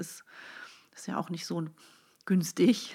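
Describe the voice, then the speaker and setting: At a moderate pace, a woman speaks in a fairly low pitch with vocal fry. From Netherlands and Germany, grew up bilingual. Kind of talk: casual conversation.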